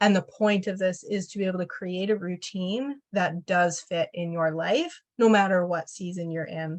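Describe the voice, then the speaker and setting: A woman in an unremarkable speaking voice talks at medium pitch and a moderate pace, with fairly even intonation and hardly any pauses. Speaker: mindset coach. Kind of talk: live Q&A session.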